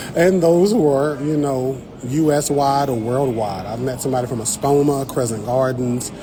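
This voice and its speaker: A man with an American accent talks at a moderate pace with medium pitch and ordinary pitch variation, with audible room echo and noticeable background noise. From Eastern North Carolina. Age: 30s. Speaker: botanist and science content creator. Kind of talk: casual livestream chat. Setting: livestream at a garden show. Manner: animated.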